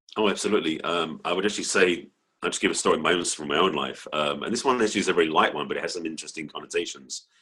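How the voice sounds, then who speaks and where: With an English accent, a man speaks at a very fast pace. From England. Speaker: relationship coach. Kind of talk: interview.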